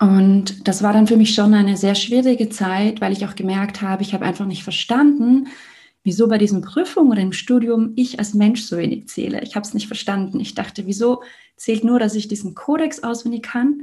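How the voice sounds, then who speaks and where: A woman's fairly high, somewhat breathy voice, dark and mellow, with ordinary pitch variation at a fairly quick pace. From Liechtenstein. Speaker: mental and heart coach. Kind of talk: casual interview conversation.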